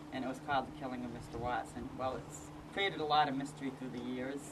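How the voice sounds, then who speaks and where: Audible room echo surrounds a woman whose pitch is very deep and low, with fairly even intonation. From northern US. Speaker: local historian. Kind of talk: casual interview.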